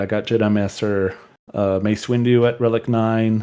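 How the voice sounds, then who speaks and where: On a very clean recording with a silent background, a man of medium pitch speaks with a French accent. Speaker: gamer, podcast guest. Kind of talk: casual chat.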